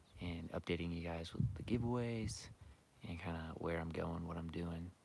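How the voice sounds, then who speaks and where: Quietly, a man speaks with a very deep, low pitch. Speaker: archery and hunting YouTuber. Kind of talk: live stream Q&A. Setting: outdoors, turkey scouting. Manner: quiet, hushed; casual, filler-heavy.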